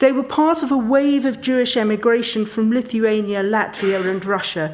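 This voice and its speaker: With a southern English accent, a woman speaks at a fairly high pitch. Her pace is moderate, and her pitch swings very widely. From London, England. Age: 60s. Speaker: sociologist. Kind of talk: public talk. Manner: formal.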